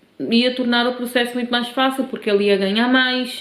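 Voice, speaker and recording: A woman is speaking with fairly even intonation. Noticeable background noise runs behind her. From Cape Verde, then Portugal from age 15. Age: 30s. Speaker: vlogger. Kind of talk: personal vlog storytelling.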